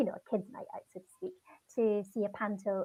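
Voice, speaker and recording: A woman with a Scottish accent speaks at a fairly high pitch. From Scotland. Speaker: children's TV actress. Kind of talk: casual interview.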